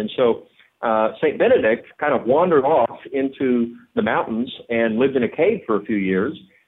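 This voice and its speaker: Here a man has an ordinary speaking voice at a medium pitch with ordinary pitch variation. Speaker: political commentator. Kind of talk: radio interview. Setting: phone call.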